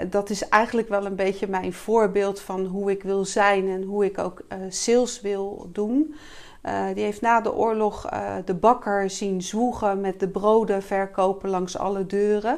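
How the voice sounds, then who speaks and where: In a very clean recording with a silent background, a woman with a plain, everyday voice speaks at medium pitch and a fairly slow pace with fairly even intonation. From Rotterdam, Netherlands. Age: 50s. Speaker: sales coach and entrepreneur. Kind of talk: casual interview. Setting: showroom.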